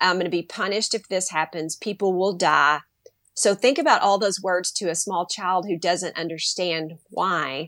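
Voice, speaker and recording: Recorded very cleanly with a silent background, a woman uses a normal speaking voice of medium pitch, moderate pace and ordinary pitch variation. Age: 50s. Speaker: teacher and educator. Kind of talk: casual interview.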